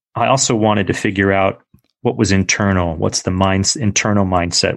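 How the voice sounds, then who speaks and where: A man with a fairly low pitch and an unremarkable speaking voice, at a moderate pace against a quiet background. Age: 40s. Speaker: entrepreneur and author. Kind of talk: interview. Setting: remote recording from home.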